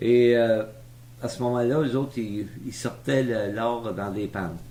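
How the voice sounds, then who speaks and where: With a dark, mellow tone, a man at medium pitch speaks very slowly with ordinary pitch variation, and audible room echo surrounds him. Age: 70s. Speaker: retired businessman telling his life story. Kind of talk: oral history interview. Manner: hesitant, many fillers.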